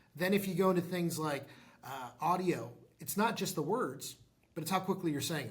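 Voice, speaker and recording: Very fast speech in a space with audible room echo. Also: man. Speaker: tech startup founder and CEO. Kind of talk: interview.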